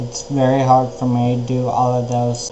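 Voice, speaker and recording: A man talks at a fairly slow pace with medium pitch. Noticeable background noise and audible room echo are present. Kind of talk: personal video blog. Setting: outdoors. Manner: slow speech due to ataxia.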